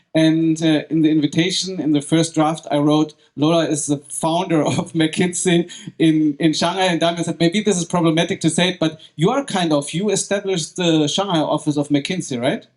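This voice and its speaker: Talking at a moderate pace with hardly any pauses, a man with a German accent uses a high pitch and fairly even intonation. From Germany. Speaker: podcast host. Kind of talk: live event moderation. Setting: stage with audience.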